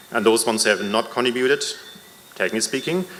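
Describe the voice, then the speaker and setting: A man's voice over noticeable background noise. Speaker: member of the public at a town hall. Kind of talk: public comment at a town hall meeting. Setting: town hall meeting in a school. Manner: hesitant, with fillers.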